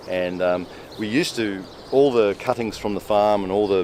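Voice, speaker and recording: A man with an Australian accent and fairly low pitch at a moderate pace, with noticeable background noise. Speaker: permaculture farmer. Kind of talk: garden tour explanation.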